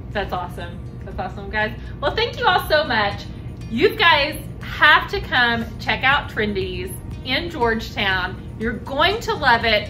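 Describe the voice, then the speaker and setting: Faint music sits in the background. The speech moves at a fairly slow pace. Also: woman. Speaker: real estate agent host. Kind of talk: promotional interview and outro. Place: bar. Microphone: camera far.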